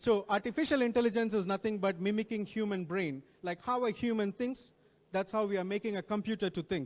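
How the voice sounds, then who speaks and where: A man with an Indian accent talks at a fairly quick pace. His pitch is high, with ordinary variation. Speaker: guest speaker on technology. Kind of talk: talk to students. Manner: repetitive, self-correcting.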